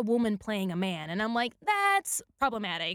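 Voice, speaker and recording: A woman's animated voice with a Spanish accent, fairly high in pitch, at a moderate pace, on a very clean recording with a silent background, dry and close with no echo. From Puerto Rico. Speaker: actor. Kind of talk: casual chat.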